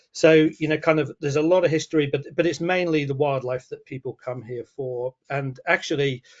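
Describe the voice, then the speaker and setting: In a Falkland Islands accent, the speaker moves at a fairly quick pace with hardly any pauses and fairly even intonation. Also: man, fairly high pitch for a man. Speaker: wildlife guide. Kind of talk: webinar presentation.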